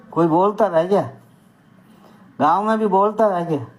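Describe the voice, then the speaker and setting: A man speaks over noticeable background noise. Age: 60s. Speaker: community activist. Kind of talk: opinion talk to camera. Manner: animated.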